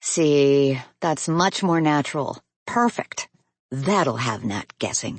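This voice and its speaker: In a put-on character voice, a woman speaks very slowly with a warm, husky tone, a very deep, low pitch and lively intonation. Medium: read story. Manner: warm, teasing.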